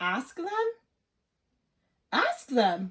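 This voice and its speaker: A woman puts on a character voice, high in pitch, with very wide pitch swings. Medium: read story. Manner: anxious, fretful.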